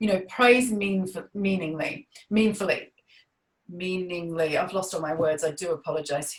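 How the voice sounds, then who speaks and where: A somewhat breathy woman talks at a moderate pace with an Australian accent. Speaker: parenting coach. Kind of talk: webinar talk. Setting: webinar.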